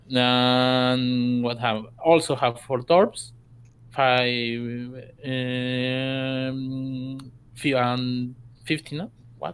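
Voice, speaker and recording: The speaker is a man with a Spanish accent and a medium pitch. He talks at a very slow pace in a flat, monotone way. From South America. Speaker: gaming clan member. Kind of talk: casual interview. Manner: halting.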